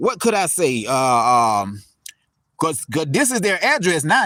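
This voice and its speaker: A man with a Southern US accent speaks at a fairly slow pace in a high voice. His tone is bright and sharp, with very wide pitch swings. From US South. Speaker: cemetery tour vlogger. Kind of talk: casual vlog narration. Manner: conversational, hesitant.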